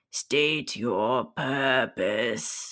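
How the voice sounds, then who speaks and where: A man puts on a character voice at a medium pitch. The voice is raspy. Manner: stern, demanding.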